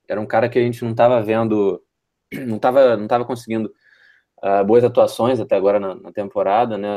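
A dark, mellow tone at a fairly quick pace. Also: man. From Rio de Janeiro, Brazil. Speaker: basketball podcast co-host. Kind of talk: casual sports chat. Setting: remote call.

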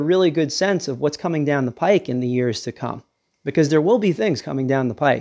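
The background is quiet as a man talks in an ordinary speaking voice. His pitch is fairly high and his intonation lively. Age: 40s. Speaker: podcast host. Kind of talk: casual solo monologue.

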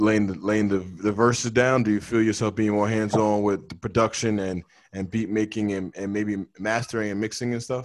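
Against a silent background in a very clean recording, a man with a fairly low pitch speaks in a monotone, with flat intonation. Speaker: podcast co-host. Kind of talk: casual chat.

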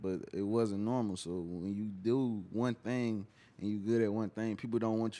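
A man talks at a moderate pace with a dark, mellow tone. His pitch is fairly low. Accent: American. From Atlanta, US South. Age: 20s. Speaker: rapper. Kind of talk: casual interview.

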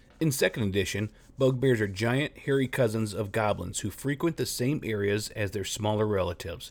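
With a plain, everyday voice, a man speaks at a fairly quick pace and a fairly low pitch, using ordinary pitch variation. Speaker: tabletop gaming podcast host. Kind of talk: scripted narration of monster lore and fiction. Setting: solo podcast recording. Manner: steady, narrator-like, measured delivery.

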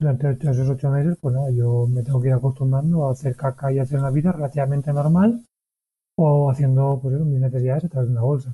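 A man speaks with fairly even intonation and very even loudness at a medium pitch. His voice is somewhat breathy, with a dark, mellow tone. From Spain, Valencia. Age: 30s. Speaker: ultra-distance athlete and cancer survivor. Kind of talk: interview, personal testimony. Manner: halting, with frequent repetitions.

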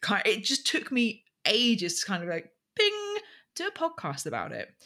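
Bright and sharp in tone, a woman speaks at a moderate pace with vocal fry, her fairly high pitch swinging very widely. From southern England, Berkshire. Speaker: podcast producer, former radio presenter. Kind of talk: casual interview.

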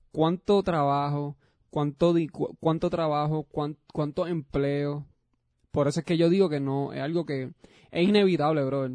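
A man's fairly high, dark, mellow voice at a fairly slow pace with fairly even intonation, dry and close with no echo. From Puerto Rico. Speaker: podcast co-host. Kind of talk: casual chat.

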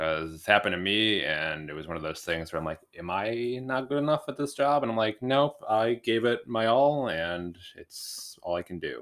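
At a moderate pace and with hardly any pauses, the voice makes very wide pitch swings and big swings in loudness. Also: man, medium pitch for a man. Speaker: host's husband, guest. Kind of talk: casual chat. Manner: joking.

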